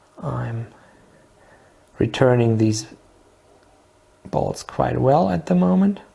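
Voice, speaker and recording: The pace is very slow, with long, frequent pauses. Background noise is noticeable. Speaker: product demonstrator. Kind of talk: product demo tutorial. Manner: halting, many fillers.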